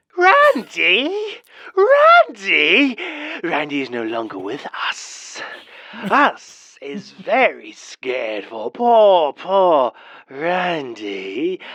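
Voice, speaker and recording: Someone in a put-on character voice talks at a very slow pace. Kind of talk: horror story narration. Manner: mock grandma voice.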